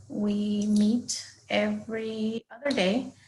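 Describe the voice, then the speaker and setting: A woman speaks with a Spanish accent in a fairly high pitch. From Guatemala. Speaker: high school Spanish teacher. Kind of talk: recorded class presentation for parents. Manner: hesitant, frequent fillers.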